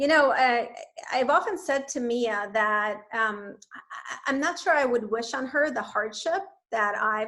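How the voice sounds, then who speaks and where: A woman speaks at a fairly slow pace. Her voice is high. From Russia, Leningrad. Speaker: author and company founder. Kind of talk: interview. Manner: filler-heavy, repeats words.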